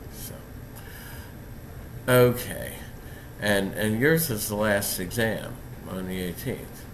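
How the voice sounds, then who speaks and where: A man's fairly low voice at a very slow pace, with long, frequent pauses, big swings in loudness and audible room echo. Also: ordinary pitch variation. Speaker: philosophy professor. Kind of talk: lecture. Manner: halting.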